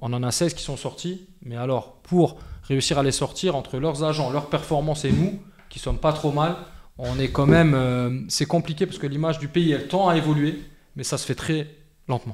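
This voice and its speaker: A man with a fairly high pitch keeps fairly even intonation at a moderate pace while noticeable background noise plays behind him. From France. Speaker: football club president. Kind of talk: podcast interview. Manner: hesitant, many fillers.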